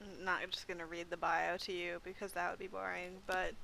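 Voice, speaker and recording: Loud and bright with a sharp tone, a woman speaks at a medium pitch and moderate pace with vocal fry. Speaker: librarian. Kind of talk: casual chat.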